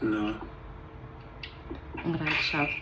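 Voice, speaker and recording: Lively intonation from a woman, with noticeable background noise. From Zimbabwe. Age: 20s. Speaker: nursing student. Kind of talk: casual vlog talk to camera.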